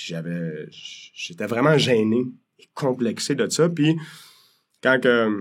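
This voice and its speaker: A man speaks at a medium pitch. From Quebec, Pincourt / Île Perrot area. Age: 40s. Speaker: mortgage broker. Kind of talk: podcast interview. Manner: casual, hesitant with fillers.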